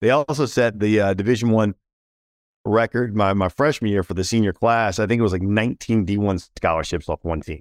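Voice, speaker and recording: A man's fairly low voice, an unremarkable speaking voice, with an American accent, ordinary pitch variation and a fairly quick pace, on a very clean, dry, close recording with a silent background and no echo. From Washington, D.C. area. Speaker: business CEO and former NFL player. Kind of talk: casual interview.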